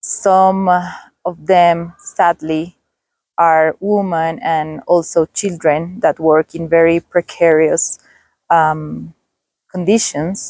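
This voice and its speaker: A woman talks at a very slow pace and a fairly low pitch, with fairly even intonation. The sound is dry and close, with no echo. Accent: Spanish. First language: Spanish. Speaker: travel vlogger. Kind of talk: vlog narration. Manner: halting, with fillers.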